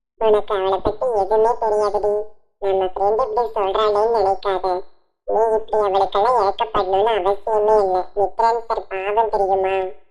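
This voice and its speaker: A woman's cartoonish character voice at medium pitch, fairly slow, monotone and flat, with very even loudness. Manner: chatty, emphatic.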